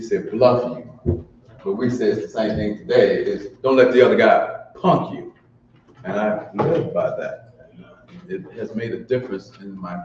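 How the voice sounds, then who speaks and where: A man at a moderate pace, big swings in loudness, noticeable background noise behind him. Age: 60s. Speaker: community elder leading a cultural gathering. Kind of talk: ceremonial remarks and libation at a community event.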